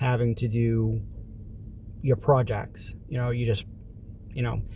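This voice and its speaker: A man is speaking. His pace is fairly quick. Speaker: vlogger. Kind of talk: casual vlog monologue.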